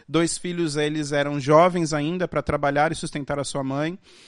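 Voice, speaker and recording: A man's words come at a moderate pace, with a quiet background behind him. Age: 30s. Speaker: guest preacher. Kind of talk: sermon. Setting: church. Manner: halting.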